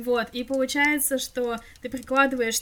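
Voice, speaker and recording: Speaking at a fairly slow pace, a woman uses a high voice with ordinary pitch variation. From Russia, Krasnoyarsk. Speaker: podcast co-host. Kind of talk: casual chat.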